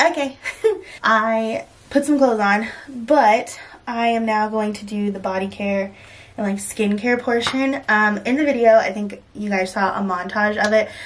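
Light background noise sits under speech at a moderate pace with ordinary pitch variation. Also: woman. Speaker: beauty vlogger. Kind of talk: casual vlog chat. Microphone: phone near.

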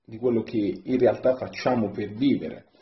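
A man's voice with audible room echo. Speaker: storyteller. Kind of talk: testimonial message to camera. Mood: warm, grateful. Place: home room. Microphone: phone near.

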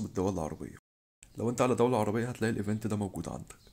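A man talks at a very fast pace in a dark, mellow tone. His medium pitch shows ordinary variation. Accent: Egyptian. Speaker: gaming youtuber. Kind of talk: tutorial.

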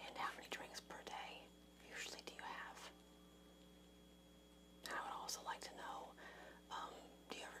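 A woman whispers in a gentle tone at a moderate pace. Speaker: interviewer asking about drinking. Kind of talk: clinical interview questions. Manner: soft, gentle ASMR counselor voice. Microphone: webcam.

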